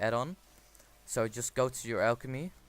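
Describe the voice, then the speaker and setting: A man talks at a moderate pace with a non-native accent and ordinary pitch variation. Music plays in the background. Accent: non-native English accent, self-noted. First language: not English. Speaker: gaming video creator. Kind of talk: game tutorial with screen commentary. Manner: casual, with frequent fillers.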